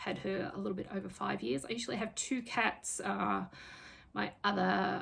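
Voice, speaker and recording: A woman speaks with an Australian accent. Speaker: craft vlogger and fantasy writer. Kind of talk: casual vlog talk. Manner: hesitant, many fillers.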